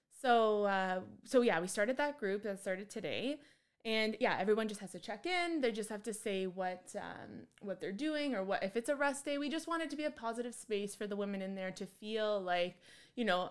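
A woman speaks at a moderate pace in an unremarkable speaking voice. Her pitch is fairly high. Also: lively intonation. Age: 20s. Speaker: forensic scientist and fitness coach. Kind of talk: casual chat.

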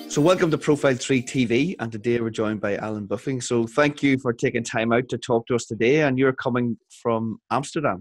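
The sound is dry and close with no echo as a man speaks in a medium pitch with ordinary pitch variation. He goes at a fairly quick pace with hardly any pauses. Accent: Northern Irish. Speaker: podcast host. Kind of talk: interview. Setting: video call.

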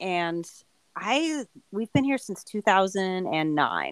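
With a Californian accent, a woman at medium pitch swings her pitch very widely in a very clean recording with a silent background. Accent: Californian American English. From Southern California. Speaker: trail runner. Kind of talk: casual chat.

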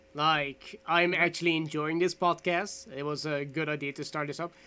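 At a moderate pace, a man with a Dutch accent speaks in a high pitch with a bright, sharp tone. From Netherlands. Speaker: gaming podcast co-host. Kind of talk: casual chat.

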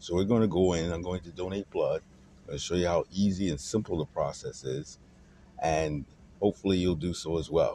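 A man's very deep, low voice has a dark, mellow tone, fairly even intonation, and a moderate pace. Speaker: podcast host. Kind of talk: vlog narration. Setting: in a car.

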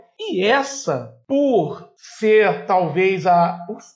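A man is speaking. His pitch moves up and down in an ordinary way. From Rio de Janeiro, West Zone (Campo Grande). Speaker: podcast co-host, navy veteran. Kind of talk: political discussion podcast. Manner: halting, many fillers.

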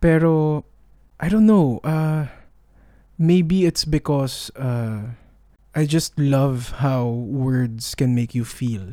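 Speaking at a very slow pace with long, frequent pauses, a man uses a dark, mellow tone at a fairly high pitch. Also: ordinary pitch variation, very clean recording, silent background. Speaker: podcast co-host. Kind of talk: casual chat. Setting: converted outdoor room.

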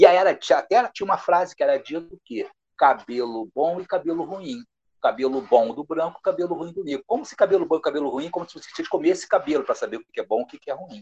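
Loudness swings widely at a very fast pace. The sound is dry and close, with no echo. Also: man. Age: 60s. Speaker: history professor. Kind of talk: interview. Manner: halting.

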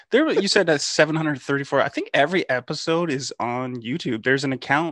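In a dry, close recording with no echo, a man with an ordinary speaking voice speaks at a fairly high pitch with ordinary pitch variation. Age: 30s. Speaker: podcast host and DJ. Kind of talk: casual interview chat.

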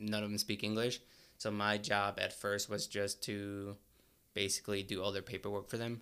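A man with a Spanish accent talks at a moderate pace in a fairly low pitch. His tone is bright and sharp, his intonation monotone and flat, in a very clean recording with a silent background. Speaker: graduate student and college wrestler. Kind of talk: casual interview. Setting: studio. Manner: casual, hesitant with fillers.

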